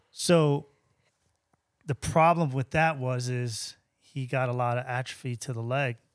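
A man with a New York accent speaks at a medium pitch with fairly even intonation and long, frequent pauses. The recording is very clean, with a silent background. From Long Island, New York. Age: 50s. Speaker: sneaker shop owner. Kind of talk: casual interview.

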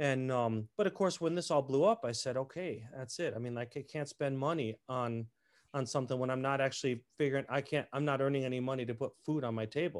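An ordinary speaking voice from a man with an American accent, medium pitch, ordinary pitch variation and a fairly quick pace, in a very clean recording with a silent background. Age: 50s. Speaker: opera tenor. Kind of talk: casual chat.

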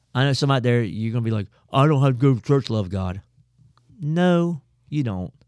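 A man with a Southern US accent talks at a very fast pace in an animated tone, his medium pitch carried by lively intonation. Long, frequent pauses break up his speech, and the sound is dry and close with no echo. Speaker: pastor. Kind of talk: casual chat.

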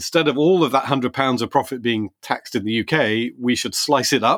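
The recording is very clean, the background silent. A man's medium-pitched voice carries ordinary pitch variation. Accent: British. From Britain. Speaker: tech policy podcast co-host. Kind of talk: casual discussion.

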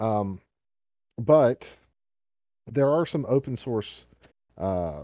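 A man with a Southern US accent and a dark, mellow tone speaks very slowly with ordinary pitch variation, on a very clean recording with a silent background. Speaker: podcast host. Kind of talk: casual chat. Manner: rambling, filler words.

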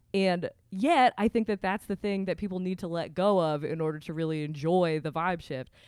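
In an American accent, a woman speaks with an unremarkable speaking voice at a fairly low pitch and a moderate pace, with ordinary pitch variation and hardly any pauses. The recording is very clean with a silent background and a dry, close sound with no echo. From Vermont, US. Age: 30s. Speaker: podcaster and video creator. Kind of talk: casual chat.

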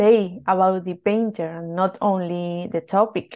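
With a Spanish accent, a woman speaks at a medium pitch with fairly even intonation. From Spain. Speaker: art historian. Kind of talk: interview.

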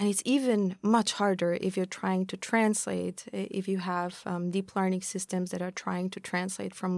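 A woman at a moderate pace with hardly any pauses, on a very clean recording with a silent background. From Austria. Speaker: founder of a machine learning nonprofit. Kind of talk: podcast interview.

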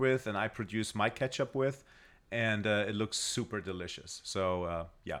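A man with a German accent at a fairly slow pace, with ordinary pitch variation, in a very clean recording with a silent background. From Germany. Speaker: guest. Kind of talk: casual chat. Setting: studio.

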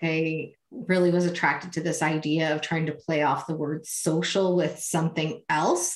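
Noticeable background noise sits behind this woman's voice. She speaks at a moderate pace with a fairly low pitch. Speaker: social media consultant. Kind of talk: interview.

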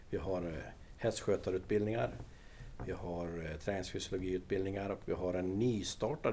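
With a very deep, low pitch and a dark, mellow tone, a somewhat breathy man talks at a fairly quick pace. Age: 60s. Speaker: equestrian centre director. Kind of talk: interview. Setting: on location at equestrian centre.

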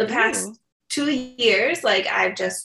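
The tone is bright and sharp. It comes from a woman with an American accent. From Chicago south suburbs, US. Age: 30s. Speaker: photographer and podcaster. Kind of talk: interview chat.

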